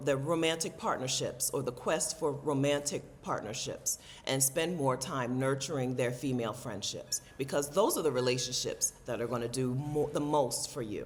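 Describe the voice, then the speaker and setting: Amid noticeable background noise, a woman with a very deep, low voice speaks at a moderate pace with ordinary pitch variation. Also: hardly any pauses. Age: 40s. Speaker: travel vlogger and content creator. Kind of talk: casual talk to camera.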